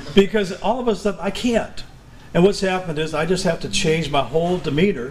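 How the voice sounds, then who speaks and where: A man shouting at a fairly quick pace, with lively intonation, over noticeable background noise. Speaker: musician and videographer. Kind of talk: talk to a live audience. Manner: holds back volume, cannot yell.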